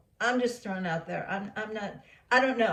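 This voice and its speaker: The voice of a woman comes through somewhat breathy. Its pitch varies in an ordinary way. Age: 70s. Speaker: lifestyle vlogger. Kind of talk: casual vlog monologue.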